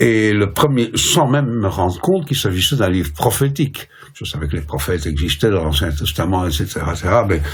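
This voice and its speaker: A man with a very deep, low voice talks at a fairly quick pace, his pitch swinging very widely. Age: 70s. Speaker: professor and translator. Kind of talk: interview. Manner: hesitant, many fillers.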